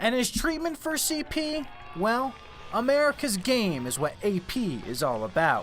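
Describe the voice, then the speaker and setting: Over music in the background, a man speaks at a fairly slow pace with extremely high pitch and very wide pitch swings. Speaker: sports anchor and reporter. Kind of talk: TV sports feature reporter narration.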